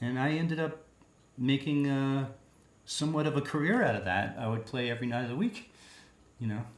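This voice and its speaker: In a Long Island accent, the speaker talks at a fairly quick pace with long, frequent pauses and ordinary pitch variation. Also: man, fairly high pitch for a man. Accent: New York (Long Island). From Long Island, New York. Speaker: singer-songwriter. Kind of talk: interview.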